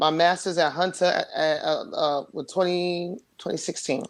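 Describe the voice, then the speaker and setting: The recording is very clean with a silent background. A woman talks at a fairly slow pace and a fairly low pitch. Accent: New York. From New York City, Queens. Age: 40s. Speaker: interview guest. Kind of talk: casual interview chat.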